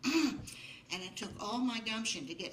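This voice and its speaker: A woman talks with lively intonation. Noticeable background noise runs behind her. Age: 80s+. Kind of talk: live storytelling to an audience. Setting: live stage with audience.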